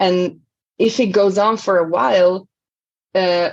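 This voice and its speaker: This is a woman speaking. She has an Italian accent. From Italy. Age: 40s. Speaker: language coach. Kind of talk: interview.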